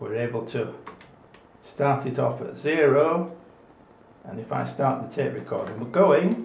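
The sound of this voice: With strong room echo behind him, a man at medium pitch talks fairly slowly, his intonation lively and edged with vocal fry.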